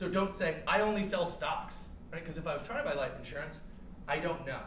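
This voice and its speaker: A high-pitched man's voice with audible room echo and noticeable background noise. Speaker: startup cofounder and speaker. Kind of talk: workshop talk. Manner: fast; animated.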